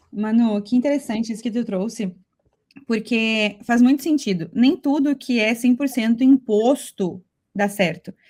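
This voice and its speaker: A woman in a southern Brazilian accent speaks at a fairly slow pace with fairly high pitch, a dark, mellow tone and ordinary pitch variation. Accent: gaúcho. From Brazil, Rio Grande do Sul. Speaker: podcast co-host. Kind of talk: podcast conversation.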